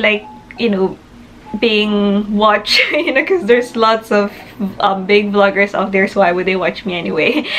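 Speaking in a Filipino accent, a woman has a fairly high pitch and an animated tone. Her pace is moderate over light background noise. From Philippines. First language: Tagalog. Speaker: nurse and vlogger. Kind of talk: casual vlog monologue to camera. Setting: video recorded for YouTube, in the UK. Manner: animated, chatty, laughs often. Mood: warm, smiling, reflective. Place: home room. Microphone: phone near.

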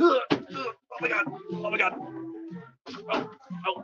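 Clear music plays behind a man as he talks. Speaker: livestreamer. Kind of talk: casual vlog chat. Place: hall. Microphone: phone near.

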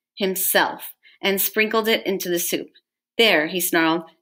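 Ordinary pitch variation runs through this plain reading aloud. Behind it, things are quiet.

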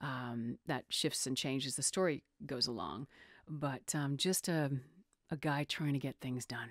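A woman's very deep, low pitch carries ordinary pitch variation, recorded with a dry sound with no echo against a quiet background. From North America. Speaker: voice actor. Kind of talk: interview answer. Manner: casual, enthusiastic. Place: home room.

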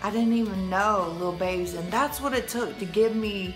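Music sounds clearly behind the voice. The speaker is a woman. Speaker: motivational vlogger. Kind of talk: casual vlog chat. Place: home room. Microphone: phone near.

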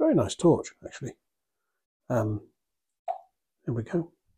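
Against a quiet background, a man talks in a somewhat breathy voice. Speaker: radio reviewer. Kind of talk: product review commentary. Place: home room. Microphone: phone near.

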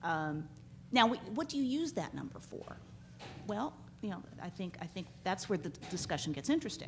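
Over light background noise, a woman talks at a fairly quick pace in a somewhat breathy voice with very wide pitch swings. She leaves long, frequent pauses. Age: 40s. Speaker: law professor. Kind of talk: conference panel talk. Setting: stage with audience. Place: hall. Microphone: podium.

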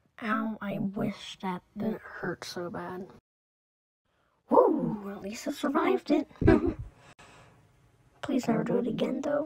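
A put-on character voice with a slightly mellow tone and a husky, rough edge shows ordinary pitch variation. It moves at a slow pace with long, frequent pauses.

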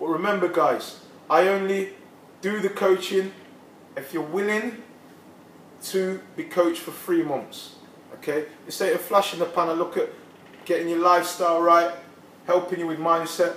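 A man speaks at a moderate pace in a high voice with fairly even intonation and long, frequent pauses. Room echo is audible, along with light background noise. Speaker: personal trainer. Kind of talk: casual promotional talk to camera. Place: gym. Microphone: camera far.

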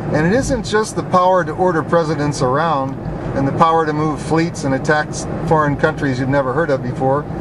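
The sound is dry with no echo, and background noise is noticeable. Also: man. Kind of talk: casual commentary while driving. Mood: indignant, persuasive. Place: car. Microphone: camera far.

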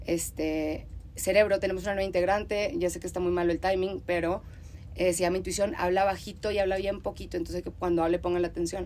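With vocal fry and monotone, flat intonation, a woman speaks at medium pitch and a very fast pace. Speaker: podcast host. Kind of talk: casual chat.

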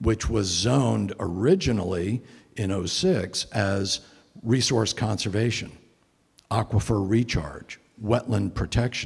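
This man has an American accent and a fairly low pitch, with ordinary pitch variation. His somewhat breathy voice moves at a fairly slow pace against a quiet background. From Connecticut, US. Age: 60s. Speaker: environmentalist giving a talk; guest. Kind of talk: lecture to a church men's group. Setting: church meeting room with audience. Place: church. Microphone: handheld.

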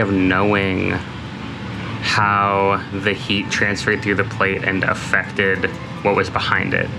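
A man speaks at a fairly low pitch with music playing in the background. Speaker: boat owner vlogger. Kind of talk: casual vlog chat. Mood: thoughtful, a bit worried. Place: boat. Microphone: phone near.

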